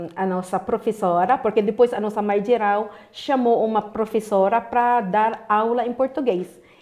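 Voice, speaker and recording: Against a quiet background, a woman speaks fairly slowly at a fairly high pitch, with ordinary pitch variation. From Philippines. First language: Filipino (Tagalog) (speaking Portuguese). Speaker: interviewee. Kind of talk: interview. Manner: halting. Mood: warm, earnest, encouraging. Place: studio.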